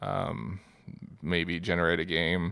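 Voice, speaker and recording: A man speaks at a fairly slow pace with vocal fry. The recording is very clean, with a silent background. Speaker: podcast co-host. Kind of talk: casual interview chat.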